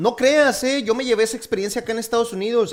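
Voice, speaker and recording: Here a man is talking. His pace is very fast. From Mexico, Torreón, Coahuila. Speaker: podcast host, engineer. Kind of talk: casual chat.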